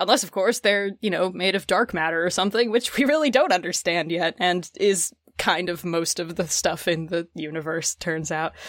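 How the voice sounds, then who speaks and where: With hardly any pauses, a woman with an American accent speaks at a moderate pace in an ordinary speaking voice, fairly low in pitch with ordinary pitch variation. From US, northern Idaho. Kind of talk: casual chat.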